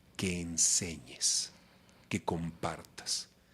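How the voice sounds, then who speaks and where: A man is speaking. He has a Mexican accent. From Mexico City. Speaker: voice actor; announcer. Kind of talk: interview answer.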